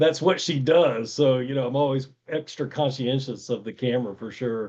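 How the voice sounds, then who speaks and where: A man with a Tennessee accent speaks at a moderate pace in a medium pitch. His intonation is lively. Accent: Tennessee twang. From US South, Virginia. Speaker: podcast host. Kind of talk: interview conversation.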